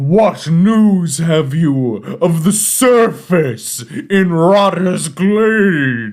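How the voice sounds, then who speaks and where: In a put-on character voice, a man speaks very slowly in a shrill, high pitch. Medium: actual play.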